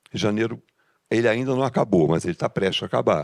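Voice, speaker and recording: A man's lively intonation in a dry, close sound with no echo. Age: 70s. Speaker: engineering business association member. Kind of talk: audience question at a business meeting. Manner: halting, with false starts.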